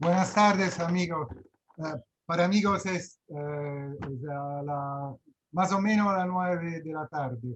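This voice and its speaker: At a very slow pace, a man with an Italian accent talks in a high pitch with ordinary pitch variation. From Rome, Italy. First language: Italian (speaking Spanish). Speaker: club president. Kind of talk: casual greeting. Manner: halting.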